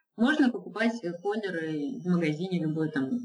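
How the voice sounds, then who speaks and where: A woman with a fairly low pitch sounds somewhat breathy and speaks with lively intonation. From Izhevsk, Russia. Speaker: illustrator and mural painter. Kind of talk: casual interview. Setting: Skype call, lower audio quality.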